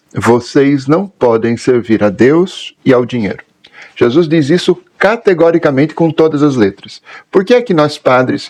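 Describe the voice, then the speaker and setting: A man with an unremarkable speaking voice talks at a medium pitch. His intonation is lively and his pace moderate. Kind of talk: catechetical talk.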